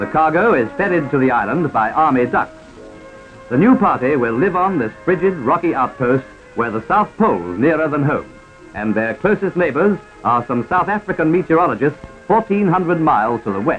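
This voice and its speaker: Over music in the background, a man with an Australian accent talks at a fairly quick pace, his fairly high pitch swinging very widely. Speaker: newsreel commentator. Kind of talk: 1940s newsreel narration. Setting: vintage archival recording. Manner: brisk, humorous.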